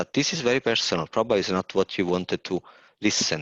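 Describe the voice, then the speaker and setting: In an Italian accent, a man with a very deep, low pitch talks at a fairly quick pace with ordinary pitch variation, the sound dry and close with no echo against a quiet background. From Italy, Naples. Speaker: environmental historian. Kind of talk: webinar talk. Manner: halting.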